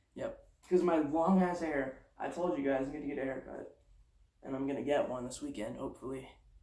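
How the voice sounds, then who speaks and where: A dark, mellow tone at a fairly quick pace, fairly even intonation, and audible room echo. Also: man, fairly high pitch for a man. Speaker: transgender vlogger. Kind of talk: casual vlog monologue. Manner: fast.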